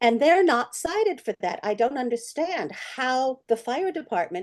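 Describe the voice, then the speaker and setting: A woman's high voice at a fairly slow pace with very wide pitch swings. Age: 70s. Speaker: homeowner asking questions. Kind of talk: virtual town hall Q&A. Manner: halting.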